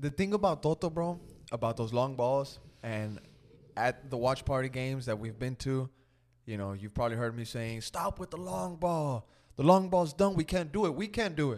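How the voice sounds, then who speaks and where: A man with a plain, everyday voice, medium in pitch, with lively intonation at a moderate pace. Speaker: podcast host. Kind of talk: casual sports chat.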